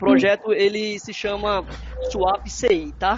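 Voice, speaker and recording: Background noise is clearly present. Through it, a man's voice comes across. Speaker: software developer. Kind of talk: webinar presentation. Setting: online webinar.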